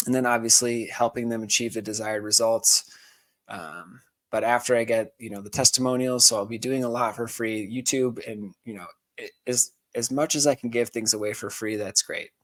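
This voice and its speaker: Using a normal speaking voice, a man talks at a moderate pace in a medium pitch, with fairly even intonation and big swings in loudness. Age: 20s. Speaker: life coach. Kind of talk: casual talk to camera. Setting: home studio.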